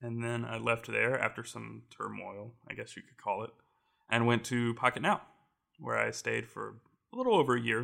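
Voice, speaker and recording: The loudness swings widely while the speech moves at a moderate pace. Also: man. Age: 20s. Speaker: tech reviewer and maker. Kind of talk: casual chat.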